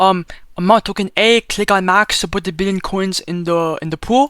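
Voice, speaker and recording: A high voice for a man, moving along at a fairly brisk clip. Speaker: crypto content creator. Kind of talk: tutorial. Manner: fast; casual, filler-heavy.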